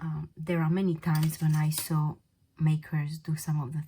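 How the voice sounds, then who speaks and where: Somewhat breathy, a woman speaks with a non-native accent at a very deep, low pitch. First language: not English. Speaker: polymer clay craft tutor. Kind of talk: tutorial. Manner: casual, hesitant with fillers.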